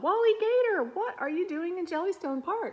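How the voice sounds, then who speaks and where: The voice is a put-on character voice, squeaky and extremely high in pitch. It moves at a moderate pace. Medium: read story.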